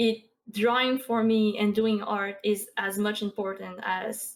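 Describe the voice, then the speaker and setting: A woman is speaking. She has a Quebec accent. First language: French. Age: 20s. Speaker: Twitch streamer and artist. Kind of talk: casual interview chat.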